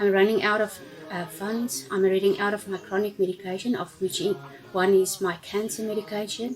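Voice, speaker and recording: A woman talks at a fairly quick pace in a medium pitch with ordinary pitch variation. Noticeable background noise can be heard. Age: 60s. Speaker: stranded traveller. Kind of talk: public appeal.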